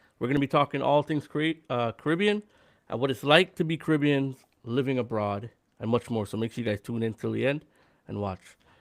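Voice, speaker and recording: A man with a medium pitch uses a normal speaking voice at a fairly quick pace with lively intonation, recorded very cleanly with a silent background and a dry, close sound with no echo. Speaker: podcast host. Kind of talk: podcast intro.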